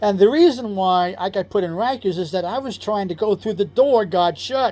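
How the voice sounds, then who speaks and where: Moderately paced, a man speaks in a dark, mellow tone at a high pitch with ordinary pitch variation. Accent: New York. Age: 60s. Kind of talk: personal testimony. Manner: casual, self-correcting.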